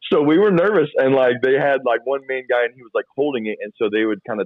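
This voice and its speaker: A man talks very fast at a medium pitch. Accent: slight Southern US. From US South (Georgia, then Florida). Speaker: youth and children's pastor, puppeteer. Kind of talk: casual interview chat.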